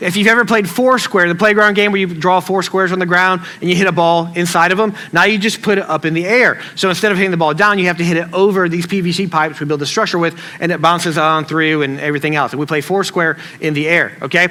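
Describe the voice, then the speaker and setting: Noticeable background noise sits behind a man who mumbles at a very fast pace with a Southern US accent. His voice is high-pitched and his intonation fairly even. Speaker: pastor. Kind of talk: sermon. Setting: church stage with audience. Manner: casual, conversational; mumbles words together.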